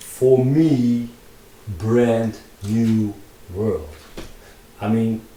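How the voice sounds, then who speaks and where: Audible room echo surrounds a man with a Dutch accent. His pitch is medium, and his intonation is fairly even. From Netherlands. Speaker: digital artist and tutorial maker. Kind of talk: casual vlog narration while drawing in VR. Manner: halting, many fillers and repetitions.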